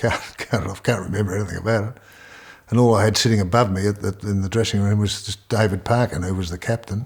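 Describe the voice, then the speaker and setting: A somewhat breathy man with an Australian accent, a fairly low pitch, fairly even intonation, and a very fast pace. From Melbourne, Australia. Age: 70s. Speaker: retired farmer and former sportsman. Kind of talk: life story interview. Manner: halting, many repetitions.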